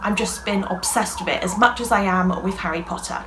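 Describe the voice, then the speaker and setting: Amid audible room echo and noticeable background noise, a woman with a British accent speaks at a medium pitch with ordinary pitch variation. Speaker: YouTuber, crafts creator. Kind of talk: casual vlog chat. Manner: fast; animated.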